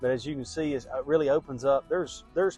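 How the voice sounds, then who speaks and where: With music in the background, a man talks in an American accent. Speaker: real estate agent and auctioneer. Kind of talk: property tour video pitch, casual talk to camera.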